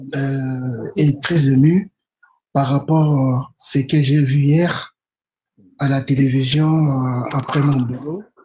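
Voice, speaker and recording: Speaking very slowly with long, frequent pauses, a man uses a fairly high-pitched, somewhat breathy voice with a dark, mellow tone and fairly even intonation. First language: Portuguese (speaking French). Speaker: caller. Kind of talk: live stream discussion.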